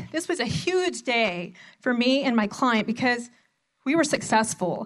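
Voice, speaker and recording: In an American accent, a woman speaks in a high voice against a quiet background. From Arizona, small mining town. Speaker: family law attorney. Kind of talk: conference talk. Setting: stage with audience.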